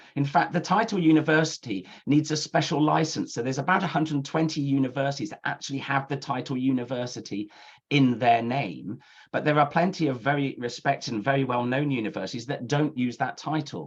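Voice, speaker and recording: With a British accent, a man speaks at a fairly high pitch and a fairly quick pace. His pitch varies in an ordinary way against a quiet background. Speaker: university admissions counsellor. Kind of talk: webinar presentation. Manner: fast.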